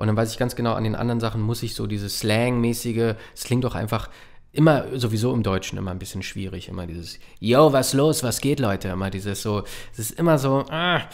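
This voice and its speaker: A man speaks at a medium pitch and a fairly quick pace, with ordinary pitch variation. The background is quiet. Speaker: voice actor and puppeteer; voice actor. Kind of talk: casual chat. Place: studio. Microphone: studio mic.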